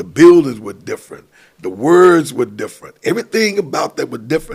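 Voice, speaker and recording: With an American accent, a man speaks at a fairly quick pace, his loudness rising and falling in big swings. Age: 60s. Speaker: pastor and council member. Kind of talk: casual chat. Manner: animated.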